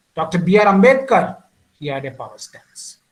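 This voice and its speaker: A man's voice in an Indian accent, with audible room echo. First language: Indian language (not English). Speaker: communication skills trainer. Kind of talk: lecture.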